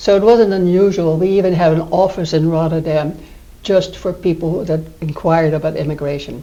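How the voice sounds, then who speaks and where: A woman's fairly low-pitched voice with a Dutch accent, fairly quick and fairly even in intonation, over noticeable background noise. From Netherlands. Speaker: retirement community resident. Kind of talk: interview.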